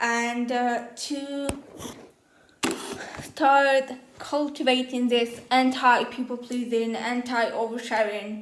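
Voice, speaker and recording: A woman's high-pitched, monotone, flat voice with a non-native accent at a very slow pace, amid noticeable background noise and audible room echo. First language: not English. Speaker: first-time YouTuber, journaling advocate. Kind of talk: casual vlog monologue. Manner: casual, filler-heavy.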